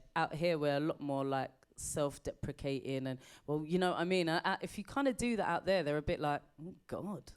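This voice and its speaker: A woman with a British accent speaks at a fairly quick pace in a very deep, low pitch, with ordinary pitch variation. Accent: British, never picked up American. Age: 40s. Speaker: comedian. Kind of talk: interview.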